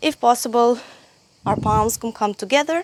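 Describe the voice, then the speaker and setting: Recorded dry and close with no echo, a woman speaks at a moderate pace with ordinary pitch variation. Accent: Croatian. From Croatia. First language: Croatian. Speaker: yoga teacher. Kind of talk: tutorial. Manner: halting.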